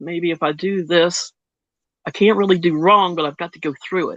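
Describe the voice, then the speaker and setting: A plain, everyday voice with ordinary pitch variation and a dry, close sound with no echo. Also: woman. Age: 60s. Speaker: Reiki practitioner. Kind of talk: casual chat.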